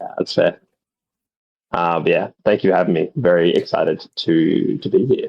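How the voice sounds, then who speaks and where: Moderate-paced speech with an Australian accent. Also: man. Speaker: guest commentator, player. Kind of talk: casual commentary chat.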